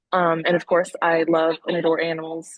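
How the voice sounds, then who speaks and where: A woman talks with a Southern US accent and a fairly low pitch. Her pace is fairly quick. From Missouri Bootheel, southeast Missouri. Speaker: veterinary student. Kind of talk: interview. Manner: hesitant, many fillers.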